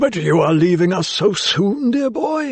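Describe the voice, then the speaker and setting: A man uses a put-on character voice pitched high. His pitch swings very widely. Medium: read story. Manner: jovial, chuckling.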